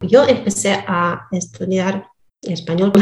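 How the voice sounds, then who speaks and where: A woman speaks very slowly with a Russian accent. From Donetsk, eastern Ukraine. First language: Russian (speaking Spanish). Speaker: Spanish learner, philologist. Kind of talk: interview. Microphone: poor sound at times.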